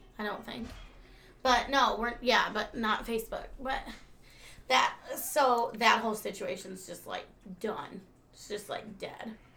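Speaking at a fairly slow pace with long, frequent pauses, a woman with a fairly high pitch uses an animated tone and ordinary pitch variation, with audible room echo around her. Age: 30s. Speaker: podcast co-host. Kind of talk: casual chat.

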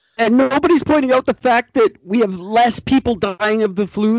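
Here a man speaks at a high pitch and a moderate pace. His pitch varies in an ordinary way. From Canada. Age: 40s. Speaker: podcast host.

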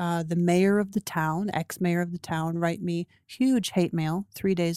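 On a very clean recording with a silent background, a woman with a Canadian accent speaks in a fairly low pitch and a dark, mellow tone, the sound dry and close with no echo. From Canada (Toronto). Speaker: grief support group organizer. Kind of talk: interview about personal grief.

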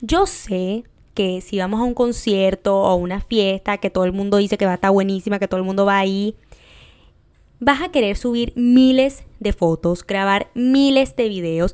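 At a moderate pace, a woman with an ordinary speaking voice talks at medium pitch with ordinary pitch variation. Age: 20s. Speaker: podcast host. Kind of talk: casual monologue.

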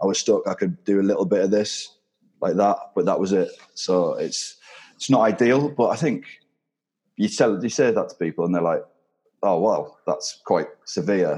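With a slight northern English accent, a man talks with long, frequent pauses. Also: moderate pace. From northern England. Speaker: retiring rugby player. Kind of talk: casual interview chat.

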